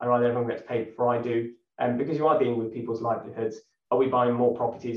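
Audible room echo surrounds a man talking fast at medium pitch with a slightly mellow tone.

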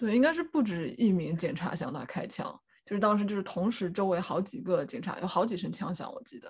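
Speaking fairly quickly with vocal fry, a woman at a medium pitch swings very widely in pitch and greatly in loudness. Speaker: clinical psychology doctoral candidate. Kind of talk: casual chat.

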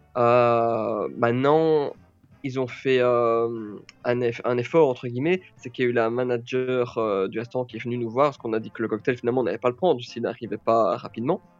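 With music in the background, a man speaks at a moderate pace and medium pitch with fairly even intonation. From Belgium. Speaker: travel blogger. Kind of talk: casual chat.

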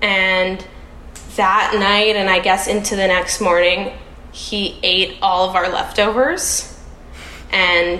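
With a Canadian accent, a woman speaks at a very slow pace and medium pitch, leaving long, frequent pauses at very even loudness. Audible room echo and noticeable background noise surround her. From Canada, Toronto. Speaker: Montessori teacher, podcast guest in recovery. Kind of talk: casual interview.

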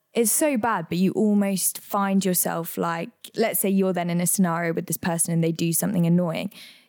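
In an English accent, a woman speaks at a fairly quick pace with a fairly low pitch. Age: 20s. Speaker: podcast co-host. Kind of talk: casual chat. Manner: animated.

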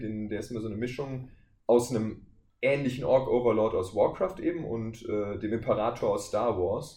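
At a moderate pace, a man speaks in a dark, mellow, somewhat breathy tone with audible room echo. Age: 20s. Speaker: voice actor. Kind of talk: casual chat.

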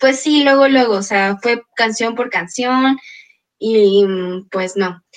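Very slow speech from a woman, fairly high in pitch, ordinary in pitch variation, broken by long, frequent pauses. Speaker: student podcast host. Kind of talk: casual chat.

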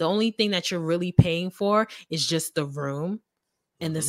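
In an animated tone and at a fairly quick pace, a woman with an American accent speaks in a fairly low voice with ordinary pitch variation, recorded dry and close with no echo against a silent, very clean background. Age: 20s. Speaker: podcaster. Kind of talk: casual interview chat. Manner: animated, laughs often.

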